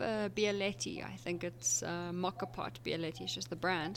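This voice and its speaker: This is a woman speaking. Her pace is fairly slow. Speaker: podcast co-host and mountain runner. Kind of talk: casual chat. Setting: campsite.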